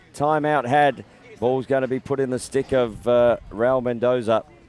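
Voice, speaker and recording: Noticeable background noise sits behind a man with an Australian accent talking at a fairly slow pace and a medium pitch. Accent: thick Australian. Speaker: lacrosse commentator. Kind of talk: live commentary.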